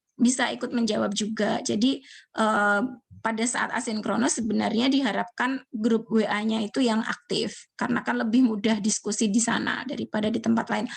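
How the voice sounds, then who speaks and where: Vocal fry at a fairly quick pace. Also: woman. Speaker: university lecturer. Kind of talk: online lecture.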